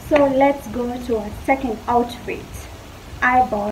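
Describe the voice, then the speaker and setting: A woman with a high pitch speaks at a fairly slow pace. There is noticeable background noise. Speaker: fashion vlogger. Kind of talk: casual try-on haul chat. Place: garden. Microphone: phone near.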